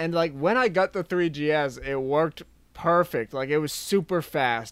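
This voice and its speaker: A man talks at a moderate pace in an unremarkable speaking voice. His pitch is fairly high. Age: 20s. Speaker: YouTube video creator. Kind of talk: casual chat.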